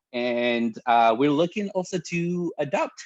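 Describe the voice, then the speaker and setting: A man's pitch swings very widely, with a quiet background behind him. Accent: Spanish. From Mexico. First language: Spanish. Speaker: pastor. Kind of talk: casual chat.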